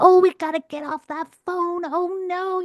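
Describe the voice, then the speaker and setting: In a put-on character voice, a female-sounding voice speaks at an extremely high pitch and a moderate pace with monotone, flat intonation. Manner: scolding, playful.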